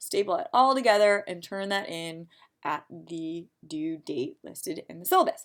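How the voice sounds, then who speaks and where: A woman's voice swings very widely in pitch on a very clean recording with a silent background. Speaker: college psychology instructor. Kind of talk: tutorial. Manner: fast.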